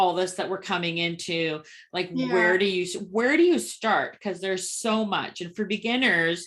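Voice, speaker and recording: Using a plain, everyday voice, a woman talks at a moderate pace and medium pitch with ordinary pitch variation. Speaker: podcast host. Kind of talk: podcast host conversation.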